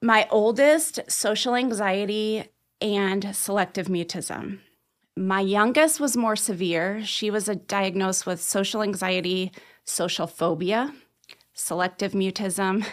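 In a very clean recording with a silent background, a woman talks at a fairly slow pace. She has a plain, everyday voice, medium in pitch with ordinary pitch variation. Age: 40s. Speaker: life coach. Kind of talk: interview.

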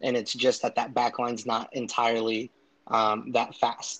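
A man's medium-pitched voice in an American accent, flat and monotone. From Southern California. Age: 20s. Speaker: aspiring soccer journalist. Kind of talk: casual interview. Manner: hesitant, many fillers.

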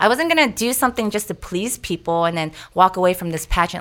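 Heard in a very clean recording against a silent background, a woman with a normal speaking voice speaks at a fairly low pitch with ordinary pitch variation. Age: 30s. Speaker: fitness instructor. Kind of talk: casual interview.

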